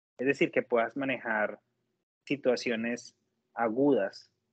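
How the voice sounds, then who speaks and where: A man with a Colombian accent speaks at a fairly slow pace in monotone, flat intonation. The sound is dry and close, with no echo. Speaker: nurse. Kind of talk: interview testimony. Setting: video call.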